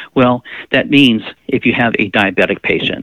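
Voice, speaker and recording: A man is speaking. He has an American accent. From Pensacola, Florida. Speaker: nurse and veteran health educator. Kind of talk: interview.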